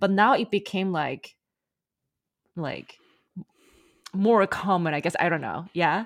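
Recorded very cleanly against a silent background, a woman speaks in a normal speaking voice at a medium pitch and moderate pace. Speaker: podcast host. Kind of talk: interview.

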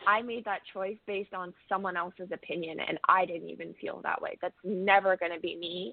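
A woman's unremarkable speaking voice with a Canadian accent, medium pitch, fairly even intonation, a moderate pace and hardly any pauses. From Canada, Ontario (Cambridge). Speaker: country singer-songwriter. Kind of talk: casual interview. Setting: phone call.

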